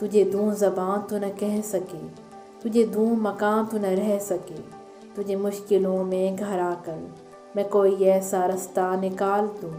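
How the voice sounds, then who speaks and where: Music plays behind a woman speaking at a medium pitch. Her intonation is monotone and flat. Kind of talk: poetry reading.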